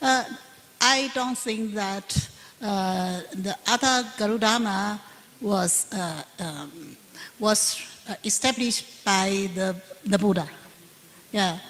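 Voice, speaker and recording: A woman's medium-pitched voice with a Chinese accent, very slow pace and ordinary pitch variation, against noticeable background noise. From Taiwan. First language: Mandarin Chinese. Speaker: Buddhist nun and professor. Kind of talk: panel Q&A answer. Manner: halting, many fillers.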